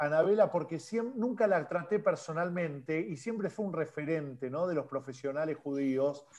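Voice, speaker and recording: A man with a plain, everyday voice speaks at a fairly high pitch with lively intonation. His pace is moderate, with hardly any pauses. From Argentina. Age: 40s. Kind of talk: casual chat.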